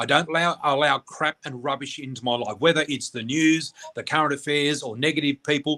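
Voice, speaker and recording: With an Australian accent and a bright, sharp tone, a man talks at a fairly high pitch and a fairly quick pace, the sound dry and close with no echo. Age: 60s. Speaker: spiritual reader and teacher. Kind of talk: casual chat. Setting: radio interview. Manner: animated.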